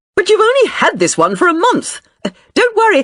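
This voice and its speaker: A put-on character voice comes out squeaky and extremely high, with very wide pitch swings. The pace is fairly quick, and the loudness stays very even. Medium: read story. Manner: polite, formal.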